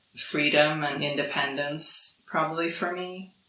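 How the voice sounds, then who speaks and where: A woman speaking at a fairly slow pace, with audible room echo. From Sweden. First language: Swedish. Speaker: podcast guest, digital nomad. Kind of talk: casual interview. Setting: island in Thailand.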